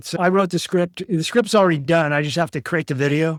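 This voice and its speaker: An unremarkable speaking voice with an American accent moves at a fairly quick pace with fairly even intonation, dry and close with no echo on a very clean recording with a silent background. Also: man. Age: 60s. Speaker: author and precious metals commentator. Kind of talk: interview.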